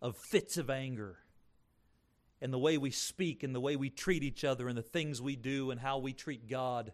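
A man at a medium pitch and a moderate pace. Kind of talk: sermon. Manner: earnest, emphatic pulpit delivery with rhetorical questions and moral exhortation; teacherly, explaining scripture point by point.

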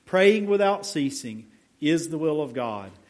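Audible room echo surrounds a man who talks at a moderate pace with very wide pitch swings. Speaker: pastor. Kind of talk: sermon. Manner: quiet.

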